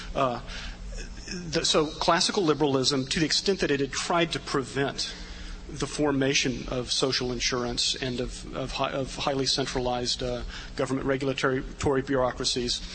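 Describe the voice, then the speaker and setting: This man talks at a fairly quick pace with a fairly high pitch, over noticeable background noise. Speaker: political writer, commentator. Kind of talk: panel commentary. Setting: stage with audience.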